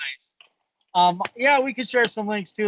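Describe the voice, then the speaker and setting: With an American accent, a man speaks at a moderate pace in a high pitch with ordinary pitch variation, the sound dry and close with no echo. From US. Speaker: voice-over artist and actor. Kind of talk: interview.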